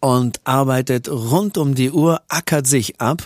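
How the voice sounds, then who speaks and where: Recorded very cleanly against a silent background with a dry, close sound and no echo, a man with an unremarkable speaking voice talks at a medium pitch with ordinary pitch variation. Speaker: radio and TV presenter and musician. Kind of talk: casual interview.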